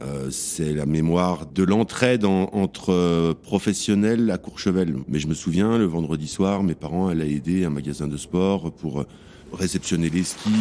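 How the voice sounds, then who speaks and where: A man's very deep, low voice with a dark, mellow tone, fairly slow pace and ordinary pitch variation. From France, Savoie (Tarentaise valley). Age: 40s. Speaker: chef. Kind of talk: interview testimony. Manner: hesitant, many fillers; blunt, plain-spoken.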